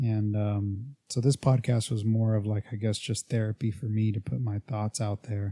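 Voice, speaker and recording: This man's voice is somewhat breathy, with a dark, mellow tone. His fairly low pitch follows fairly even intonation. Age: 30s. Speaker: fitness podcast host and coach. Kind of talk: casual solo monologue. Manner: hesitant, many fillers.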